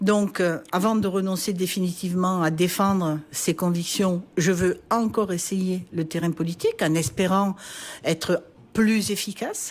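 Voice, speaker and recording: A woman with a plain, everyday voice speaks at a medium pitch and a fairly slow pace, with very even loudness and fairly even intonation, in a very clean recording over a silent background. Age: 60s. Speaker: politician, party president. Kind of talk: radio interview.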